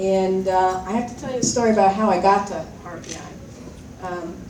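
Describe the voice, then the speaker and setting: Audible room echo and noticeable background noise around a woman talking. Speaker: alumna, former student leader. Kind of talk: reunion speech. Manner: soft-spoken; casual, rambling with fillers.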